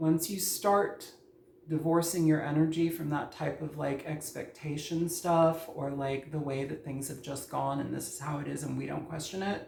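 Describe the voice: With audible room echo, a slightly mellow voice carrying vocal fry moves at a moderate pace with fairly even intonation.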